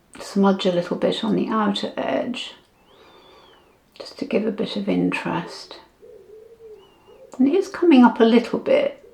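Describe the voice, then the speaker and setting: At a moderate pace, the voice comes with long, frequent pauses and big swings in loudness, over noticeable background noise. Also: woman. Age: 70s. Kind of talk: casual talk to camera.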